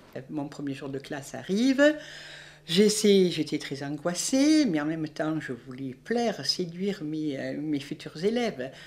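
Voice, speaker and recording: A woman with a southern French accent speaks at a fairly slow pace and a very deep, low pitch, with lively intonation. Her loudness swings widely, and the recording is very clean with a silent background. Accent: southern French (Midi). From southern France. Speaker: retired teacher. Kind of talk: interview testimony.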